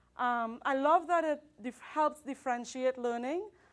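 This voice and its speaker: A woman speaks at a moderate pace with a high pitch and a non-native accent. Her pitch varies in an ordinary way, and the recording is very clean with a silent background. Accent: noticeable non-native. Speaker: high school math teacher. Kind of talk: conference presentation.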